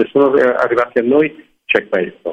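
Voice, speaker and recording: A man is speaking at a moderate pace. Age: 60s. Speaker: opera stage director. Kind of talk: radio interview.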